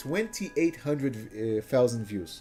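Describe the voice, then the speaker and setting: A man with a Portuguese accent at a moderate pace, over noticeable background noise. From Brazil. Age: 20s. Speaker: gaming streamer. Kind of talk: casual chat. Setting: live stream.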